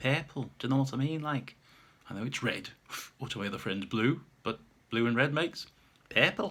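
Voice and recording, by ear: The pitch varies in an ordinary way as the speaker reads aloud in a natural voice.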